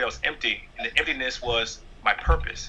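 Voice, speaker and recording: The pace of this speech is moderate. The speaker is a man with a New York accent. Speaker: stand-up comedian. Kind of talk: interview.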